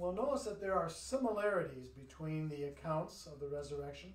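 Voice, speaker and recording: The speaker is a man. The room echo is audible. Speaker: pastor leading bible study. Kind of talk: bible study introduction. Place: church. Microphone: camera far.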